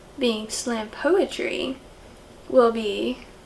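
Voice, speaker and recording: Over noticeable background noise, a woman speaks at a very slow pace, her high-pitched voice keeping fairly even intonation. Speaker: slam poet. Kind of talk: casual talk to camera.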